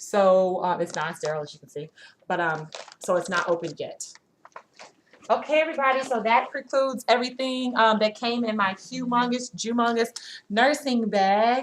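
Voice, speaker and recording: A woman with an ordinary speaking voice talks at a moderate pace and a fairly high pitch, with lively intonation and big swings in loudness. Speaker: nursing student vlogger. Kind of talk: casual show-and-tell vlog.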